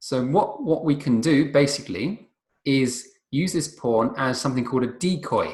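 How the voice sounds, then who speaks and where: A man speaks in a fairly high pitch at a moderate pace. His voice is somewhat breathy. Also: ordinary pitch variation. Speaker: chess teacher. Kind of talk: tutorial. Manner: halting, many fillers.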